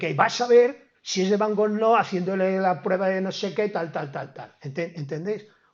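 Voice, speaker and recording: This man's voice sits high. He talks at a moderate pace. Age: 70s. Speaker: professor. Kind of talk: lecture. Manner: halting; animated.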